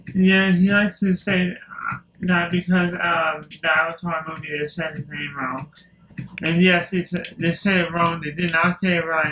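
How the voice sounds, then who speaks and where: Over noticeable background noise, a man with a high pitch speaks at a moderate pace in a monotone, flat intonation. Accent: Louisiana. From US South, Louisiana. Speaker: gaming YouTuber. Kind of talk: casual chat. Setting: home recording while gaming.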